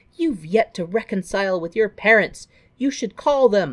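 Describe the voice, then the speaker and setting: Putting on a high-pitched character voice, a man speaks at a moderate pace with lively intonation, the sound dry and close with no echo against a quiet background. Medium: game stream.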